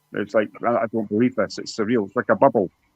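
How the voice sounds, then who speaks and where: A man with a Scottish accent talks at a very fast clip in a medium pitch. The sound is dry and close, with no echo. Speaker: YouTube guest on a mental health talk. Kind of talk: emotional personal testimony. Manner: halting.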